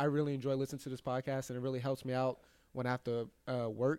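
A man's very fast, dark, mellow voice at a medium pitch, dry and close with no echo. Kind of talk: casual chat. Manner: excited.

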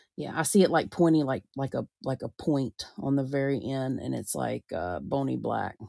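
A woman with a Southern US accent speaks in a dry, close sound with no echo. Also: moderate pace, very clean recording, silent background. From US South. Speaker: podcast host and psychic medium. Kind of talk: casual chat.

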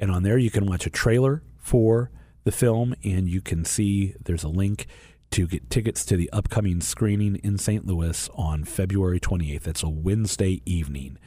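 A man with a very deep, low pitch, a somewhat breathy voice, lively intonation and a moderate pace. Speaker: radio host. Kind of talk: radio show hosting with prayers. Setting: studio.

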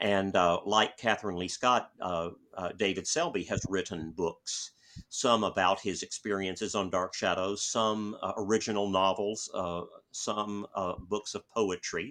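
A man with a bright, sharp tone and fairly low pitch speaks at a fairly slow pace with fairly even intonation, against a quiet background. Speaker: author and retired college professor. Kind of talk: interview. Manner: halting, with many fillers and repetitions.

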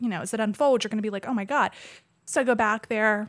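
A woman's fairly high voice with a bright, sharp tone, on a very clean recording with a silent background. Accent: General American. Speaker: painter and podcast guest. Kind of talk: casual chat.

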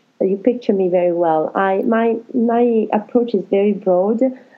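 Speaking at a fairly slow pace with an Italian accent, a woman uses ordinary pitch variation. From Italy. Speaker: life coach and counsellor. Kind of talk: interview.

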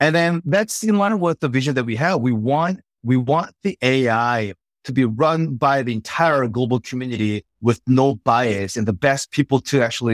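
A man with a Korean accent at medium pitch, moderate pace and lively intonation, on a very clean recording with a silent background and a dry, close sound with no echo. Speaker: startup CEO. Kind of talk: interview.

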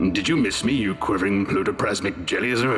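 Over loud music in the background, a man puts on a robotic character voice, fairly low in pitch and fairly quick in pace. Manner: monotone.

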